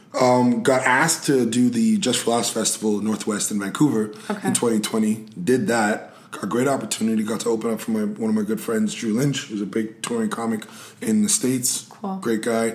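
A man talks fairly quickly. Noticeable background noise can be heard in the recording. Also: medium pitch for a man, ordinary pitch variation. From Montreal, Quebec. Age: 30s. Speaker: comedian and actor. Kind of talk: casual chat.

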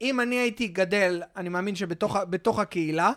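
A man's voice on a very clean recording with a silent background. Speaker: podcast host. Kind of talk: casual interview.

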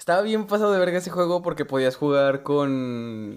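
Pitched fairly high for a man, this is a man's voice. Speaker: podcast co-host. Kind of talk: casual chat.

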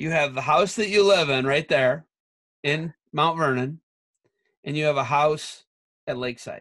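Speaking fairly slowly with long, frequent pauses, a man with a Midwestern US accent has a fairly high pitch and ordinary pitch variation. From Ohio, Ottawa County. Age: 40s. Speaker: wrestling podcast host. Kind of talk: casual interview chat.

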